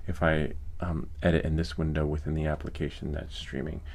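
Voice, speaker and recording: A man with an American accent, at a moderate pace, with ordinary pitch variation. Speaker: tech YouTuber, 3D printing streamer. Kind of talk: live stream tutorial. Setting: live stream. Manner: casual, filler-heavy.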